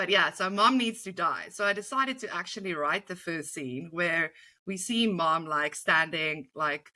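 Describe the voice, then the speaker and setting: A bright, sharp voice with a South African accent comes through on a very clean recording against a silent background. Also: woman. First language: Afrikaans. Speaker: comedy writer. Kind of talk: interview. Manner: animated.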